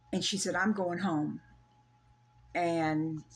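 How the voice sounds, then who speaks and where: A woman speaks with a Southern US accent at a fairly slow pace. The recording is very clean, with a silent background. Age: 70s. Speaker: storyteller sharing a personal paranormal experience. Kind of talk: casual interview, personal story. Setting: in person at her home.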